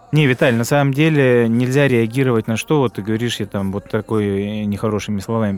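With music playing in the background, a man of medium pitch talks at a very fast pace with ordinary pitch variation. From Krasnodar, southern Russia. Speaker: podcast co-host. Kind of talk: casual chat.

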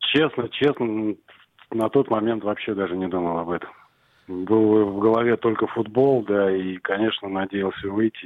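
Fairly even intonation in a normal speaking voice, at a moderate pace. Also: man. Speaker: youth football coach. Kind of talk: radio interview.

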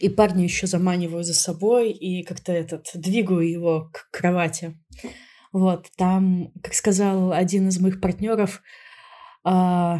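In a dark, mellow tone, a woman delivers her words very slowly. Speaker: podcast co-host. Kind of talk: casual chat. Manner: interrupts often.

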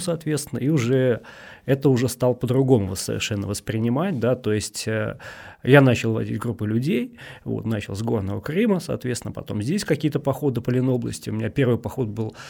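A man's dark, mellow voice at medium pitch and a moderate pace, with ordinary pitch variation, in a very clean recording with a silent background. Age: 40s. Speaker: hiking and rafting guide. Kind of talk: casual chat.

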